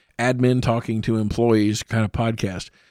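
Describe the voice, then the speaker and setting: On a very clean recording with a silent background, a man with a medium pitch speaks at a moderate pace. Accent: Midwestern American. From Indiana (Columbus). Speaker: fire captain and podcast host. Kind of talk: solo podcast monologue. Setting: studio.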